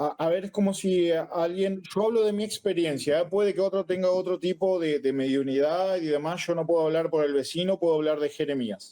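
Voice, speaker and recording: A man with a Rioplatense accent, a high pitch, a dark, mellow tone, very even loudness and hardly any pauses. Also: ordinary pitch variation, fairly quick pace. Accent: Argentine Rioplatense Spanish. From Argentina. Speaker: Afro-Brazilian religion priest. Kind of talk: interview conversation.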